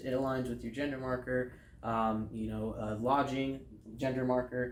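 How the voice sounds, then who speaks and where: Audible room echo surrounds a man speaking with an American accent and fairly even intonation. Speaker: air force veteran. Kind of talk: interview. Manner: hesitant.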